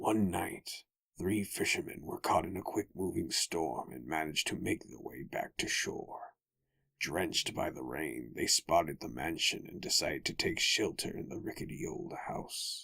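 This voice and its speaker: Using a raspy put-on character voice, a man speaks at a moderate pace. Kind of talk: horror narration. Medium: read story. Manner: measured, suspenseful.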